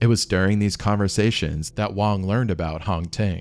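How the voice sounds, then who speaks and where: With music in the background, a man talks at a fairly quick pace using lively intonation. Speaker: narrator. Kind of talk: documentary storytelling narration.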